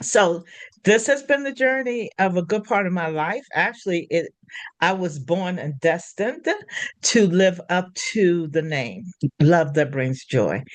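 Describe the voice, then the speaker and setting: With an American accent, a woman speaks at a fairly slow pace and a fairly low pitch. Her voice moves through very wide pitch swings. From Washington, D.C. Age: 80s+. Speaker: Reiki healer and doula teacher. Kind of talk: interview conversation.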